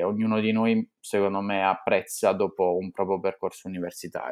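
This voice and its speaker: A man's fairly low voice stays fairly level in intonation as he talks at a medium speed. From Italy, Apulia. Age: 20s. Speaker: law student. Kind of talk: interview. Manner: halting, many fillers and repetitions.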